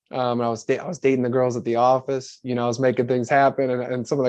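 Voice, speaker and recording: Rushing at a very fast pace, a man speaks at medium pitch with fairly even intonation. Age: 20s. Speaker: life coach. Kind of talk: casual chat.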